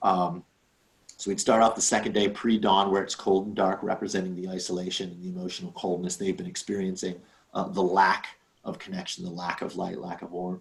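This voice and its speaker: A man's very deep, low voice with monotone, flat intonation and big swings in loudness. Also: fairly quick pace. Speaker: workshop participant presenting a group exercise. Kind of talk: online workshop presentation. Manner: fast; hesitant, many fillers.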